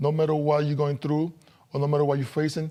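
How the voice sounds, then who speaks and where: A man speaks with a Dominican accent at a fairly high pitch in a dark, mellow tone. The recording is very clean, with a silent background. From Dominican Republic. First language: Spanish. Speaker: former professional basketball player. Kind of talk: interview testimony.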